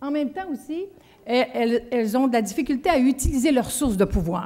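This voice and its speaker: Very fast speech carries lively intonation. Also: woman. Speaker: leadership trainer, former union executive. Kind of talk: conference talk.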